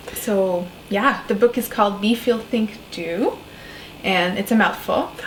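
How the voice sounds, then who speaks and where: A woman with a French accent talks at a fairly slow pace, her fairly high pitch held to fairly even intonation, against noticeable background noise. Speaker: shaman, spiritual coach and author. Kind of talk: interview conversation.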